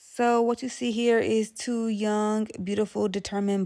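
Against a quiet background, the voice has a dark, mellow tone, a fairly slow pace and monotone, flat intonation. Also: woman. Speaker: vlogger. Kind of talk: casual vlog chat. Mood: playful, celebratory. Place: cafe.

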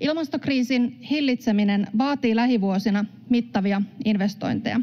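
A woman speaks in a somewhat breathy voice with a fairly high pitch. The background is quiet. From Finland. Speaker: member of parliament. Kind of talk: parliamentary speech. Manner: formal. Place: hall. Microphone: podium.

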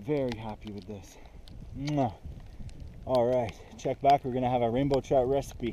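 A man at a fairly slow pace, dry sound with no echo, light background noise. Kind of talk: casual vlog chat. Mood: excited, happy. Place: open country. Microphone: phone near.

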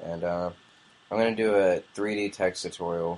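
A man talks at a moderate pace. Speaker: software tutorial maker. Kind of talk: tutorial. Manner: casual, hesitant with fillers.

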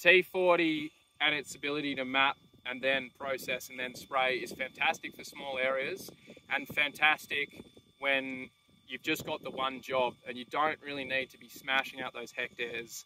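With a dry sound, no echo and light background noise, a man speaks at a moderate pace in a bright, sharp tone with fairly even intonation. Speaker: drone seller. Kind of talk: tutorial. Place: open country.

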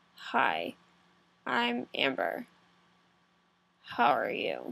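Doing a put-on character voice, a woman speaks very deep and low, raspy and croaky. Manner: self-deprecating demo of her bad voice.

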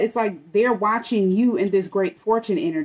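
A woman is speaking at a moderate pace. Her pitch varies in an ordinary way. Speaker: tarot reader. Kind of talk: tarot reading commentary. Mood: calm, reassuring. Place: home room. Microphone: phone near.

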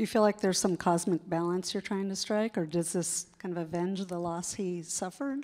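A woman talks at a fairly quick pace with hardly any pauses. Her pitch varies in an ordinary way. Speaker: newspaper editor and interviewer. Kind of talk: onstage interview. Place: stage. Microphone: handheld.

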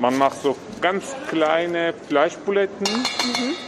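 Noticeable background noise sits behind the recording. A man talks with very wide pitch swings. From Turkey. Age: 30s. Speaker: community worker. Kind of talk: interview. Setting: cooking school kitchen in a market hall. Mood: warm, reminiscing. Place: kitchen.

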